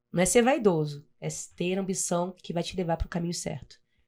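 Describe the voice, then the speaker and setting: Here a woman speaks with a fairly low pitch and a dark, mellow tone. The recording is very clean, the background silent. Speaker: municipal government secretary. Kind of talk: interview.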